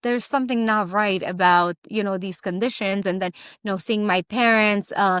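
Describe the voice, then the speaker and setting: A woman with a Romanian accent speaks at a fairly high pitch. The recording is very clean and dry, close with no echo, over a silent background. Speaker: entrepreneur. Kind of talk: interview. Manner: halting.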